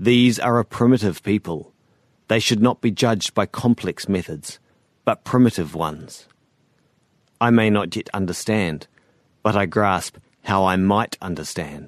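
A man with a New Zealand accent talks at a fairly slow pace with long, frequent pauses, in a fairly low pitch with ordinary pitch variation. The sound is dry and close with no echo, against a quiet background. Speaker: fiction author narrating his own story. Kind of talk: first-person literary sci-fi narration, brooding confessional monologue. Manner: measured, deliberate, darkly introspective.

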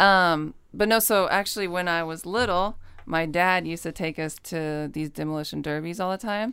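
On a very clean recording with a silent background, a woman with a fairly low pitch and a bright, sharp tone speaks at a moderate pace with ordinary pitch variation and hardly any pauses. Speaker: women's football player. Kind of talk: casual chat.

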